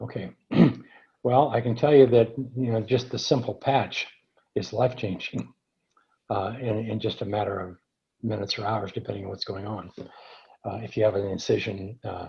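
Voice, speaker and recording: A man's somewhat breathy, medium-pitched voice with a dark, mellow tone and long, frequent pauses. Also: fairly even intonation, moderate pace. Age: 70s. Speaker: earthing advocate and product developer. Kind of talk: webinar Q&A. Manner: halting.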